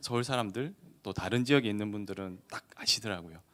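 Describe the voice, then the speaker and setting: With a slight Gyeongsang accent, a man speaks at a moderate pace in a fairly low, bright, sharp voice. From Gyeongsang region, South Korea. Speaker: lawyer. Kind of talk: seminar lecture. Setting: seminar hall with audience, streamed online. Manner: conversational.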